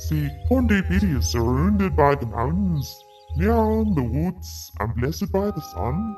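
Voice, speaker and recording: Clear music plays in the background as a woman does a put-on character voice, very deep and low, at a fairly slow pace. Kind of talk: comic put-on accent.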